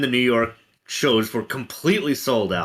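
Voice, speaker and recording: A man with an American accent, a bright, sharp tone, lively intonation, and a moderate pace. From US West Coast, Los Angeles. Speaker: guest in an online Q&A. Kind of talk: casual chat. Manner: halting, many fillers.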